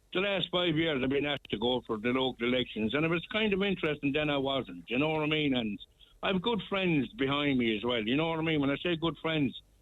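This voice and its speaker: A man with a Tipperary accent speaks at a very fast pace and a fairly high pitch. His intonation is lively while his loudness stays very even. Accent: Irish, Tipperary. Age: 70s. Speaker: local election candidate. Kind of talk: radio interview.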